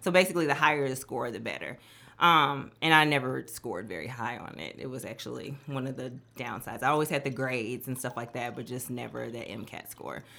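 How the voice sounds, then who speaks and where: In an American accent, the speaker talks at a very fast pace with vocal fry. Pitch variation is ordinary, while loudness swings a lot. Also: woman, very deep, low pitch for a woman. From US Midwest, Milwaukee. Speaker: emergency room doctor. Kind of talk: casual chat.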